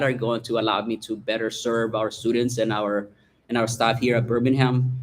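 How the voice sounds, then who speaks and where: With a Salvadoran accent, a man speaks at a fairly quick pace in a medium pitch and a monotone, flat intonation. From El Salvador. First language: Spanish. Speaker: school principal. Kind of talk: self-introduction at board meeting. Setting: meeting room with microphone.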